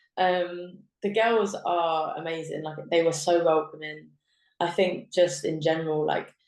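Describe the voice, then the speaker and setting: A woman talks fairly slowly, and her intonation stays fairly even. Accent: southern English. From southern England. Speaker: professional footballer. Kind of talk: podcast interview. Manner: casual, filler-heavy.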